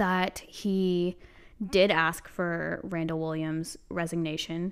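On a very clean recording with a silent background, a woman with an American accent speaks in an unremarkable speaking voice, fairly low in pitch with fairly even intonation. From South Carolina. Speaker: podcast co-host, newspaper editor. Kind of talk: casual chat.

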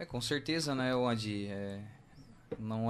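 A man's medium-pitched voice moves along at a fairly slow tempo. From southern Brazil, Santa Catarina. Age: 30s. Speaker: car dealership owner. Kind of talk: radio interview.

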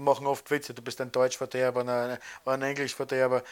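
At a very fast pace, a man talks in a very clean recording with a silent background. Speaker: emigrant interviewee. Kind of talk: interview testimony.

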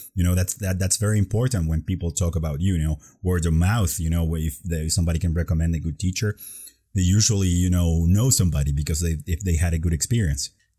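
With a Spanish accent, a man speaks very fast in a very deep, low voice, his dark, mellow tone somewhat breathy, with ordinary pitch variation and very even loudness. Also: very clean recording, silent background. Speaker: podcast host and English teacher.

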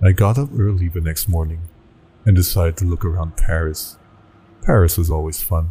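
The delivery has a dramatic tone, somewhat breathy, with ordinary pitch variation. Long pauses come often. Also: man, very deep, low pitch for a man. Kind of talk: creepypasta horror narration, first-person scripted storytelling. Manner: tense, dramatic, rising dread toward the end.

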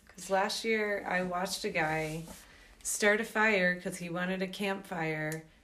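A woman with an American accent speaks at a fairly slow pace in a bright, sharp tone, her medium pitch in fairly even intonation, with audible room echo. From US South, Georgia. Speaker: podcast host. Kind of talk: casual chat.

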